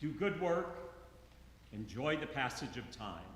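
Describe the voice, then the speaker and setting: Audible room echo and noticeable background noise surround a man who speaks at a fairly slow pace with lively intonation. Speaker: eulogist, friend of the deceased. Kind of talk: eulogy. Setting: church memorial service. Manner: loud.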